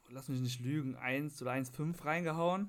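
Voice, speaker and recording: A man talks at a fairly slow pace with ordinary pitch variation. His is an unremarkable speaking voice. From Lower Rhine region, western Germany. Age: 20s. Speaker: IT administrator. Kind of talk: casual chat.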